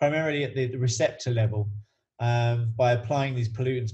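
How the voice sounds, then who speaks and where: A somewhat breathy voice with fairly even intonation moves at a fairly quick pace. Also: man. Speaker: coach and researcher. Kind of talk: podcast interview. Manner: halting, many fillers.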